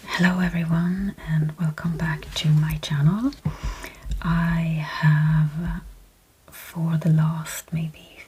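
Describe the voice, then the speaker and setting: Noticeable background noise surrounds the recording. A soft-spoken woman talks at a fairly low pitch. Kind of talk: ASMR product haul talk to camera.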